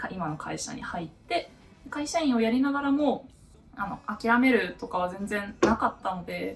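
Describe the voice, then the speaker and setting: A woman speaks at a fairly high pitch with very wide pitch swings. Music plays in the background. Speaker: novelist and office worker. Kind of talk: casual Q&A talk to camera. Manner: laughing, otaku-style talk.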